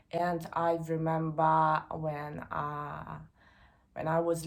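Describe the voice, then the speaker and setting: A woman's very slow speech in a Russian accent. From Moscow, Russia. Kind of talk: casual talk to camera.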